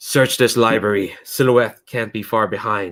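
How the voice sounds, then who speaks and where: Putting on a gruff character voice, a man speaks at a medium pitch and a moderate pace. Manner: commanding.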